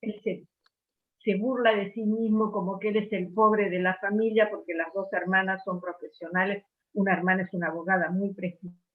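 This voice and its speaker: Moving at a moderate pace, a woman with an ordinary speaking voice talks at medium pitch with fairly even intonation. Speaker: book club member. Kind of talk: book club discussion. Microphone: unstable internet connection.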